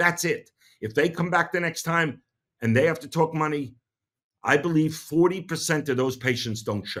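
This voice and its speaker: With a New York accent, a man speaks at a fairly high pitch with ordinary pitch variation. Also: moderate pace. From New York City. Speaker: dentist and podcast host. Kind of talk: podcast monologue.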